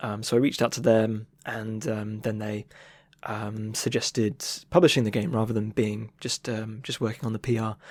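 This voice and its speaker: Speaking at a moderate pace with fairly even intonation, a man with a fairly low voice is heard on a very clean recording with a silent background. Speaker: illustrator and game developer. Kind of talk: interview answer. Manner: casual, hesitant, many fillers.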